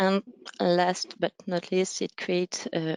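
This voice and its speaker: A woman's fairly low voice with a French accent, dry and close with no echo. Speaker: conference speaker. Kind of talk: conference presentation. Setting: webinar. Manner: halting, many fillers.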